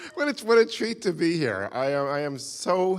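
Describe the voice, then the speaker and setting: A man with a New York accent speaks with lively intonation. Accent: American, New York. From US, New York. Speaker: visiting lecturer. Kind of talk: lecture. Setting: stage with audience. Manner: halting.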